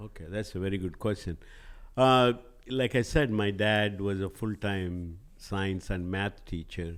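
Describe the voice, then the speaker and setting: A man talks at a fairly slow pace with ordinary pitch variation, leaving long, frequent pauses. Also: fairly low pitch for a man. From southern India. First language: Telugu. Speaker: organic spice company CEO. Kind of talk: podcast interview.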